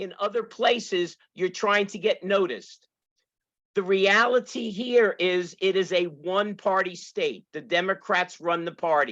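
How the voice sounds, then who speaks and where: With a Brooklyn accent, a woman talks at a fairly slow pace and keeps her intonation fairly even. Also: medium pitch for a woman. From New York City and New Jersey. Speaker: political candidate, retired teacher. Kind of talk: rally speech.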